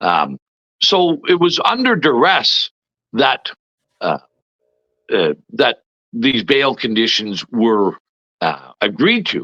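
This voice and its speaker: Speaking very slowly with long, frequent pauses, a man talks in a Canadian accent. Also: dry, close sound with no echo. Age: 60s. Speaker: former provincial politician. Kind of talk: interview. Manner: halting, many fillers.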